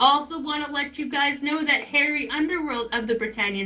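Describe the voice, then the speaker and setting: Over noticeable background noise, a woman with a high pitch speaks in a raised, projected voice at a moderate pace. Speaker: live event commentator. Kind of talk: live commentary. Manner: animated; loud.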